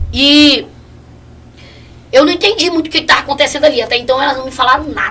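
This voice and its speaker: A woman's high-pitched, raised, projected voice, very fast in pace yet broken by long, frequent pauses. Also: ordinary pitch variation. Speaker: evangelist giving testimony. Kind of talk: testimony.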